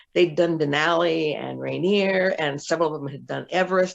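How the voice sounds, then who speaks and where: A woman talks with a fairly low pitch. Vocal fry runs through her voice. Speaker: former business executive and speaker. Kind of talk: interview storytelling.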